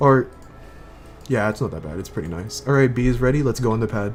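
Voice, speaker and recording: The talking proceeds at a moderate pace. Behind it, music plays. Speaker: raid leader streamer. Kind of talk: game raid callouts. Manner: halting.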